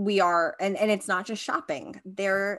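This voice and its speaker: A woman with an American accent speaks in an ordinary speaking voice at a moderate pace and medium pitch, with ordinary pitch variation. The recording is very clean, with a silent background. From Long Island, New York. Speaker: costume designer, podcast co-host. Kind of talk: casual interview chat.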